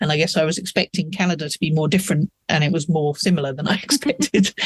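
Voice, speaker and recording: At a very fast pace, a man with a British accent speaks at a high pitch with ordinary pitch variation, the sound dry and close with no echo. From England. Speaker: author. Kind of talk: casual interview chat.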